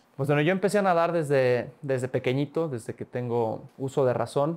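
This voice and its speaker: Ordinary pitch variation from a man at a fairly quick speed. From Mexico, San Luis Potosí. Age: 20s. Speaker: olympic swimmer; interviewee. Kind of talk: interview. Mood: relaxed, warm. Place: studio. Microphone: lapel.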